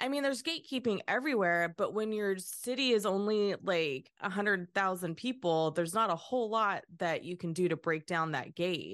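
A woman's ordinary speaking voice at medium pitch, moderate pace and hardly any pauses, against a quiet background. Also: lively intonation. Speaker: artist and podcaster. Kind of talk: casual conversation.

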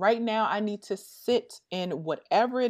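A woman with an unremarkable speaking voice talks at a fairly slow pace with ordinary pitch variation against a quiet background. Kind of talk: casual interview chat.

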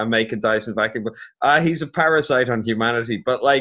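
A man with an Irish accent, fairly quick pace and bright, sharp tone. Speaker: podcast host. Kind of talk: casual chat.

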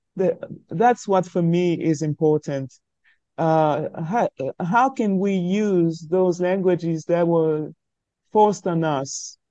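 Speaking at a very slow pace, a woman with a French accent has a fairly low pitch and ordinary pitch variation, recorded with a dry, close sound with no echo against a quiet background. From Cameroon. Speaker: writer. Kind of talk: interview. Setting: video call. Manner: halting.

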